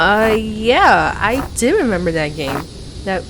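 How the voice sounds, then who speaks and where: A woman with a medium pitch speaks at a fairly slow pace in a playful, excited tone. Noticeable background noise runs underneath. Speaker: ASMR roleplay performer. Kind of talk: ASMR roleplay audio, scripted. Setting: USB condenser microphone recording. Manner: playful, excited, nervous.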